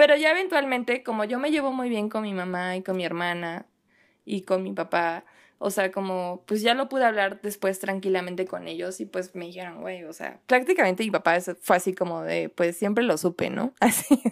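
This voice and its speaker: A woman with an unremarkable speaking voice at a medium pitch, moderate pace, lively intonation and big swings in loudness, in a very clean recording with a silent background. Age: 20s. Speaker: writer and poet. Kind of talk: casual chat.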